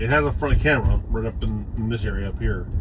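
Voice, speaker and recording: The man speaks very fast. Audible room echo and noticeable background noise accompany him. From Puerto Rico. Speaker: vlogger with multiple sclerosis. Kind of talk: casual vlog while driving. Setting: in a car. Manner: halting, stumbling over words.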